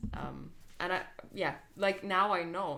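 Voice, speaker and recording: This woman speaks with a Lithuanian accent. Her tone is bright and sharp. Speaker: dance producer and dancer. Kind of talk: casual chat. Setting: on a couch at home.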